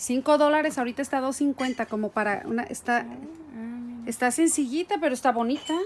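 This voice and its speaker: Light background noise sits behind a woman's high voice, which has ordinary pitch variation. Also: moderate pace. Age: 50s. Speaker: YouTuber. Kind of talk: vlog. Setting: in a car. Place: home room. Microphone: phone near.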